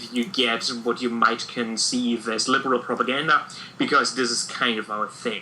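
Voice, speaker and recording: With a German accent and a medium pitch, a man talks over noticeable background noise. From Germany. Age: 30s. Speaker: podcast co-host, teacher. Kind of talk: casual podcast chat. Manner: halting, many filler words.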